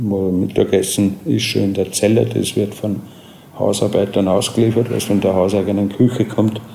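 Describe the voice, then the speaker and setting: With fairly even intonation and a fairly low pitch, a man talks at a moderate pace while noticeable background noise carries on. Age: 40s. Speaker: prison inmate. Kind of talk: interview. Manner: halting.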